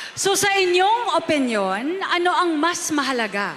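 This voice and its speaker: Noticeable background noise accompanies a woman with a Filipino accent speaking at a very slow pace with very wide pitch swings. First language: Tagalog. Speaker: event host. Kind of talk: pageant hosting on stage. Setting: PA system.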